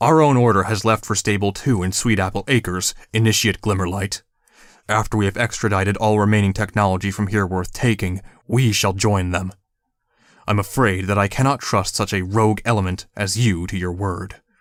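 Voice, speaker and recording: A man puts on a booming character voice, fairly low in pitch and fairly even in intonation, at a fairly quick pace. The recording is very clean, the background silent. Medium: read story. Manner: authoritative, formal, archaic phrasing.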